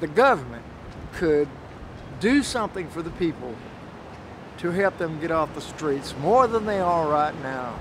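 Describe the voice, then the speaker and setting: A man with a fairly high pitch and lively intonation at a fairly slow pace, dry sound with no echo, noticeable background noise. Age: 60s. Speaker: homeless military veteran. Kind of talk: interview answer. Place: street.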